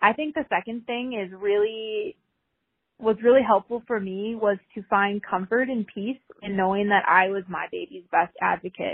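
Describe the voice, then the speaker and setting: A woman speaks with an American accent at a moderate pace. Hers is an ordinary speaking voice, medium in pitch with ordinary pitch variation. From Minnesota. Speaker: nurse and NICU mother. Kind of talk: recorded testimony.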